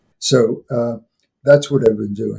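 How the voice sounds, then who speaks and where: Somewhat breathy and dark, mellow in tone, a man speaks at a moderate pace with fairly even intonation. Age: 80s+. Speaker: retired professor and folklore expert. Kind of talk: interview. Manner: halting, with many fillers.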